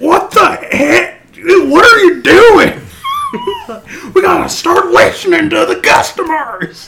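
A man's put-on character voice, extremely high in pitch, at a fairly slow pace. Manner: angry, yelling.

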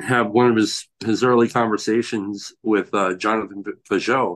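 With a quiet background, a man of medium pitch speaks at a fairly slow pace. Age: 30s. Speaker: recovered alcoholic and tile worker. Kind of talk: casual chat. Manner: halting.

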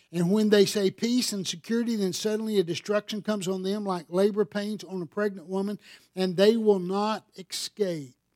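A man with a Southern US accent and a high pitch, fairly even intonation and a moderate pace, on a very clean recording with a silent background and a dry, close sound with no echo. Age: 60s. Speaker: pastor. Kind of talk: sermon. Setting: church.

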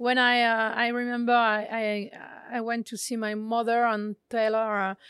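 A woman speaks with a French accent at a fairly high pitch and a fairly slow pace. The sound is dry and close with no echo, in a very clean recording with a silent background. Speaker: chef. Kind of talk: interview. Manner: halting.

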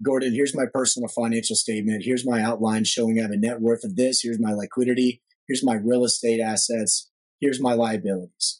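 Words come out at a very fast pace in an American accent. The intonation stays fairly even. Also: man, medium pitch for a man. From Texas, Dallas area. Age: 30s. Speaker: commercial real estate financier. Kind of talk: podcast interview.

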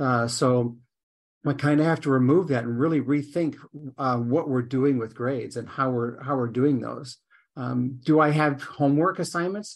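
A man with an ordinary speaking voice, fairly high in pitch, with ordinary pitch variation, a moderate pace and a quiet background. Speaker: biology instructor. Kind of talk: casual chat.

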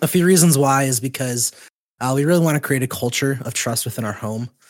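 The recording is very clean with a silent background as a man, in an ordinary speaking voice with a medium pitch, talks at a fairly quick pace with lively intonation. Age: 20s. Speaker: podcast host. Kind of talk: casual chat.

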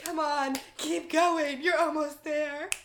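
Someone uses a put-on character voice with a high pitch, speaking at a fairly slow pace.

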